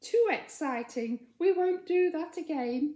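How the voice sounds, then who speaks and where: A put-on character voice at a fairly slow pace. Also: woman, extremely high pitch for a woman. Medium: read story.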